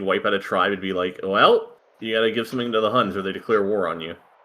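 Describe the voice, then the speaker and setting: A man talks fairly quickly while music is heard behind him. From United States. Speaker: game commentator. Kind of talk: live commentary.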